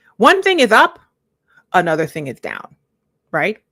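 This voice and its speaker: In a dry, close recording with no echo, a woman speaks in a bright, sharp, animated tone. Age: 40s. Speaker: life coach. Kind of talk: live stream commentary. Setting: live stream.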